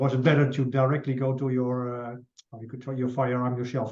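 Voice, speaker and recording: A man talks at a fairly quick pace and medium pitch. His tone is dark and mellow, and somewhat breathy. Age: 50s. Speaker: martial arts instructor, interviewer. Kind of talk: interview conversation. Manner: halting.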